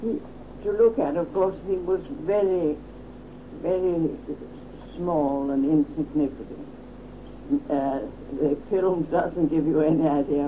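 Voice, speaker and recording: A woman with a very deep, low voice speaks fairly slowly with ordinary pitch variation and long, frequent pauses, against noticeable background noise. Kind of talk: interview answer.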